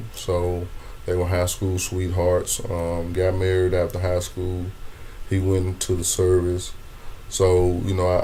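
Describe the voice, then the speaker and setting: A man with a very deep, low pitch and a dark, mellow tone speaks at a moderate pace in a flat monotone. His voice is somewhat breathy, and the room echo is audible. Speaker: comedian. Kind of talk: interview conversation. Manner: stammering repetitions.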